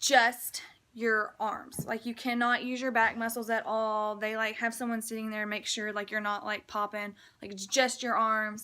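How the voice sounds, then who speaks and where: At a moderate pace, a woman speaks in a bright, sharp tone with fairly high pitch. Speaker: army recruit vlogger. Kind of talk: casual vlog explanation. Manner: casual, filler-heavy; stuttering today.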